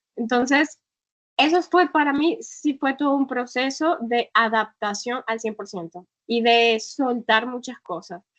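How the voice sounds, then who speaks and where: Her voice high-pitched and her intonation lively, a woman speaks in a dry, close sound with no echo. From northern Colombia. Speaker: travel blogger and travel agency founder. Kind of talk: interview.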